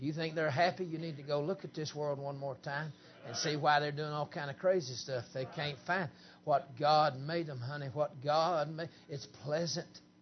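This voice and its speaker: Somewhat breathy, a man with a Southern US accent and a fairly high pitch talks at a moderate pace. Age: 50s. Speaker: preacher. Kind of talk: camp meeting sermon, Pentecostal holiness style, with banter at the congregation. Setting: church camp meeting with congregation. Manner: animated, joking crowd interplay with laughter.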